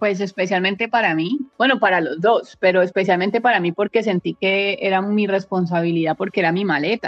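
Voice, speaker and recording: Using an unremarkable speaking voice, a woman talks at a fairly quick pace and medium pitch with hardly any pauses. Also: ordinary pitch variation. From Colombia, Valle del Cauca (Palmira). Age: 30s. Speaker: travel photographer. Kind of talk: interview.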